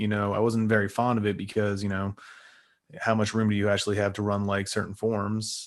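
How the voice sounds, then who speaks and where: Against a quiet background, a man speaks at a very fast pace in a fairly low pitch with monotone, flat intonation. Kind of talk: casual interview chat. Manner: stutters at times.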